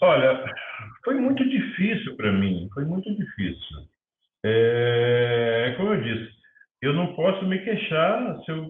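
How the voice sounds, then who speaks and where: With very wide pitch swings, a man speaks at a very slow pace in a fairly high voice, leaving long, frequent pauses. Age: 60s. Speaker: filmmaker. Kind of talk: interview.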